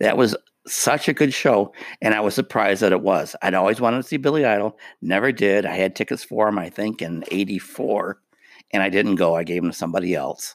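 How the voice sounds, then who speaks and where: A man speaks with a plain, everyday voice. His pitch is fairly low, with ordinary variation. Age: 50s. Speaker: podcast co-host. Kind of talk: casual chat.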